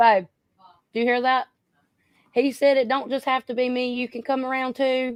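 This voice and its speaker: In a North Carolina accent, a woman with a high pitch speaks at a moderate pace, with monotone, flat intonation and long, frequent pauses. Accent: Southern US accent, North Carolina. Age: 30s. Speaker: YouTuber. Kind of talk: casual chat.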